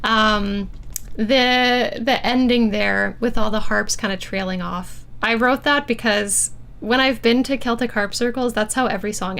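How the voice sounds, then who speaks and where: A woman speaks in a normal speaking voice at a fairly high pitch. Her pace is fairly slow and her intonation fairly even. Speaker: harpist and composer hosting a livestream. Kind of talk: livestream album listening party chat. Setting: livestream. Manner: casual with many fillers.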